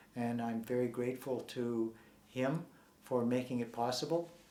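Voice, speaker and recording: A man's voice with fairly even intonation, over noticeable background noise. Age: 60s. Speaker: former Scientology member and activist. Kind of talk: interview. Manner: halting.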